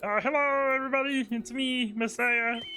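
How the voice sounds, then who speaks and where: A man uses a put-on character voice with an extremely high pitch, raised and projected, at a moderate pace. Light background noise sits behind him. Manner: silly, made-up voice.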